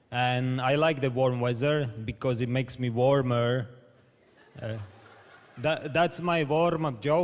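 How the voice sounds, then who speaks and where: A man with a Latvian accent speaks at a fairly slow pace, leaving long, frequent pauses, with noticeable background noise behind him. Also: medium pitch for a man. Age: 30s. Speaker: comedian. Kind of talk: stand-up. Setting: stage with audience. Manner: halting; deadpan.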